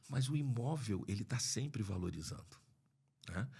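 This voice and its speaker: Captured in a very clean recording with a silent background, a man with a medium pitch speaks at a moderate pace in a somewhat breathy voice. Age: 60s. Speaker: lawyer and property investor. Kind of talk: podcast interview. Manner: halting, many restarts.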